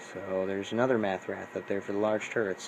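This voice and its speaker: Over noticeable background noise, a man with a fairly low pitch speaks at a fairly quick pace in a monotone, flat intonation. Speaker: gaming YouTuber. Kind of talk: tutorial. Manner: fast; casual, filler-heavy.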